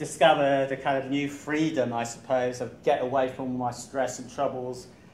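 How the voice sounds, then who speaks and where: A man's medium-pitched voice in an English accent, monotone and flat, at a moderate pace, with audible room echo. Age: 60s. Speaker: running coach. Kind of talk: talk to club audience. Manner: hesitant, many fillers.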